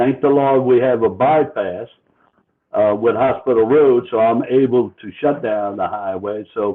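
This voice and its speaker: In a New Orleans accent, a man speaks at a fairly slow pace. His pitch is medium and varies in an ordinary way. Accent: Chalmatian (New Orleans area). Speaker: car club organizer. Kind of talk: casual interview.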